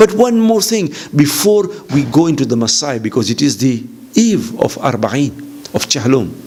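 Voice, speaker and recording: Over noticeable background noise, a man with an East African accent talks at a moderate pace and a fairly high pitch, with very wide pitch swings. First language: Swahili. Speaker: visiting Islamic lecturer. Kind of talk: religious lecture.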